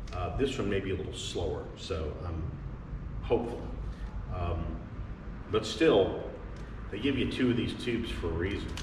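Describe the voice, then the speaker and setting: At a moderate pace, a man with a fairly low pitch speaks with long, frequent pauses over noticeable background noise. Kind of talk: tutorial. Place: workshop. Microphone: camera far.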